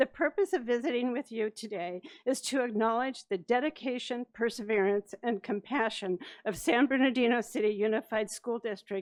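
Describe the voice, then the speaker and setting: The voice moves at a moderate pace with ordinary pitch variation, and the sound is dry and close with no echo over a quiet background. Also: woman. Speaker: retired humane education specialist. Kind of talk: public comment at board meeting. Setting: board meeting with microphone.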